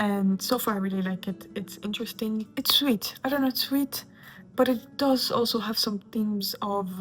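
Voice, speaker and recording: Speaking with a non-native accent, a woman keeps a moderate pace and a fairly high pitch, with ordinary pitch variation and a somewhat breathy quality. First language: not English. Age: 20s. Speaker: booktuber. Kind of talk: casual chat. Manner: animated.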